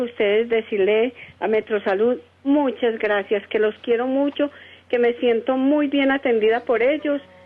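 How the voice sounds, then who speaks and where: With ordinary pitch variation, this woman's speech goes at a fairly slow pace. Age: 60s. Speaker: caller. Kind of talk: call-in question. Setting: phone call.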